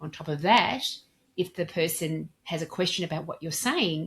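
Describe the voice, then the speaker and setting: At a moderate pace, a woman with a fairly low pitch sounds somewhat breathy on a very clean recording with a silent background. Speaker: dental practice communication trainer. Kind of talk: interview.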